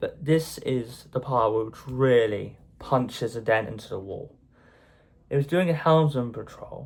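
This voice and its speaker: On a very clean recording with a silent background, a man in an English accent speaks at a medium pitch. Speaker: YouTuber. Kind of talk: casual monologue vlog. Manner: halting.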